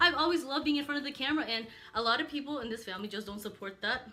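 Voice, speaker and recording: Her intonation is lively as this woman speaks. There is noticeable background noise. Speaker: YouTuber. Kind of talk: casual chat. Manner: fast; animated.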